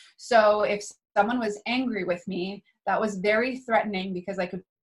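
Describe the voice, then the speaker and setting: A woman's somewhat breathy voice with an American accent, at medium pitch with ordinary pitch variation. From US Northeast, New Hampshire. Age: 30s. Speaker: spiritual teacher and healer. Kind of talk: casual interview conversation.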